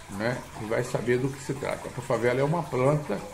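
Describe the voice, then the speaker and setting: At a moderate pace and medium pitch, a man talks with ordinary pitch variation, with audible room echo and noticeable background noise in the recording. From Rio de Janeiro, Brazil. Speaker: video blogger. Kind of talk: casual monologue to camera. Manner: halting, many fillers.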